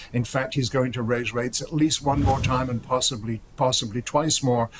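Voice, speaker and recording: A man talks at a medium pitch and a fairly quick pace. His voice is somewhat breathy. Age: 70s. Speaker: gold market strategist. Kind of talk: TV interview.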